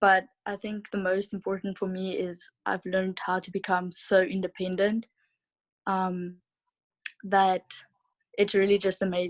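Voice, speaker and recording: The speaker, with a South African accent, talks at a fairly slow pace in a monotone, flat intonation, with big swings in loudness. Long, frequent pauses break up the speech, and the sound is dry and close with no echo. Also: woman, medium pitch for a woman. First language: Afrikaans. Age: 20s. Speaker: au pair. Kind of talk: interview.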